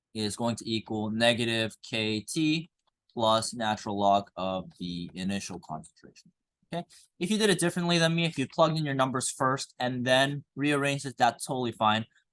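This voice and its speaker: A man with a Korean accent speaks at medium pitch and a moderate pace, with lively intonation. The sound is dry and close with no echo, over a quiet background. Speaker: high school chemistry teacher. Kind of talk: classroom lecture. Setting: classroom with students. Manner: casual, filler-heavy.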